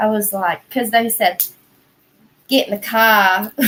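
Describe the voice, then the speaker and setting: A woman with an American accent speaks in a fairly high pitch, her tone bright and sharp and her intonation fairly even. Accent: Southern accent, comes out harder when stoned. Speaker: livestream host. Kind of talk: casual chat. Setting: livestream.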